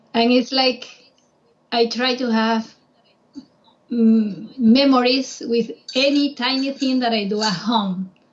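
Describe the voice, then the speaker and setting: With a Spanish accent, a woman speaks at high pitch and a very slow pace, with ordinary pitch variation and long, frequent pauses. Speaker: travel guide. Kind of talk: casual chat.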